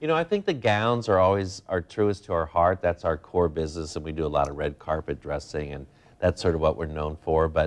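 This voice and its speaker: Talking at a fairly quick pace, a man has a very deep, low pitch and ordinary pitch variation. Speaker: guest. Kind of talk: interview answer. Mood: enthusiastic, warm. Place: studio.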